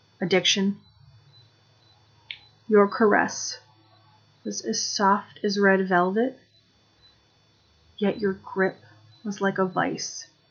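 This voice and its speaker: Over music in the background, a woman talks at a very slow pace with long, frequent pauses. Her intonation is monotone and flat. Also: medium pitch for a woman. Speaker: addiction recovery advocate. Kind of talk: spoken word performance. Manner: dramatic, theatrical.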